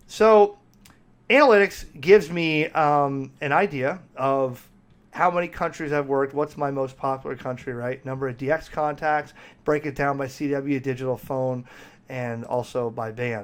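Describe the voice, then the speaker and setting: A man with a plain, everyday voice and a fairly high pitch keeps a moderate pace, his pitch varying in an ordinary way. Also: very clean recording, silent background. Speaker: ham radio operator and YouTuber. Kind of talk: software walkthrough tutorial.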